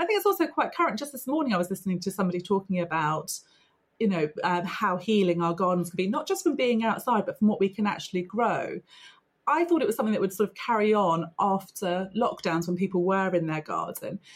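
A woman's somewhat breathy voice at medium pitch, very fast and lively in intonation. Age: 40s. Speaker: podcast host. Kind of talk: podcast interview.

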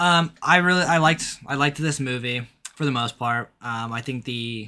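A man's medium-pitched voice, bright and sharp in tone, at a moderate pace with ordinary pitch variation. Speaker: podcast host. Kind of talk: casual chat. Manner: casual, swears often.

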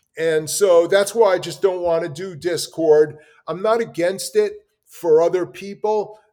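With music in the background, a man with a high voice speaks at a fairly slow pace with fairly even intonation. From New York City, Brooklyn. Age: 60s. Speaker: artist. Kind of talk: interview conversation.

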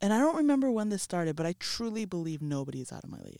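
With an American accent, a woman speaks in a dark, mellow tone at medium pitch, her voice making very wide pitch swings in a very clean recording with a silent background. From US West Coast, Los Angeles suburbs. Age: 30s. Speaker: casting producer. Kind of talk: casual interview chat.

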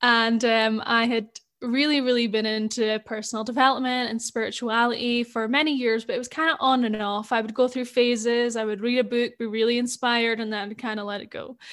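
Speaking at a fairly quick pace, a woman with a Scottish accent has a high pitch. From Scotland. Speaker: spiritual life coach. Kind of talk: casual chat.

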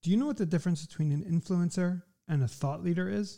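Moving at a fairly quick pace, a man speaks in a dark, mellow, somewhat breathy tone. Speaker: podcast host. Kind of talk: casual interview chat.

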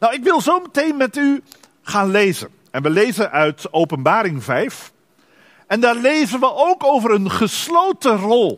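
Speaking fairly slowly, a man with an extremely high voice swings very widely in pitch. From Netherlands, Dordrecht. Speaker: pastor. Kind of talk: sermon.

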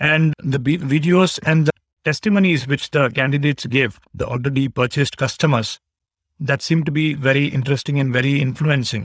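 A man with an Indian accent speaks fairly quickly in a somewhat breathy, fairly high voice, with fairly even intonation, very even loudness and a dry, close sound with no echo. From India, Bangalore. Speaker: CPA exam candidate. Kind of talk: interview. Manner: halting.

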